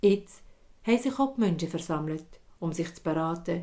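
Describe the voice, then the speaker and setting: A woman talks at a moderate pace and fairly low pitch, with ordinary pitch variation. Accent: Swiss. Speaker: storyteller. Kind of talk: fairy tale storytelling.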